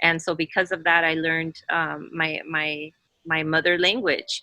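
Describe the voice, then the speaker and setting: The recording is very clean, with a silent background. A woman speaks in a fairly low voice with a bright, sharp tone. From US, Mexican immigrant family. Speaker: panelist. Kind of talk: casual discussion.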